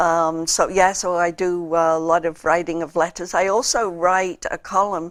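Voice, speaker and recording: A woman speaks with a Liverpool accent. Her intonation is flat and monotone. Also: fairly low pitch for a woman, moderate pace. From England, Liverpool. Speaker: political candidate. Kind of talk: interview. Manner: halting, many fillers.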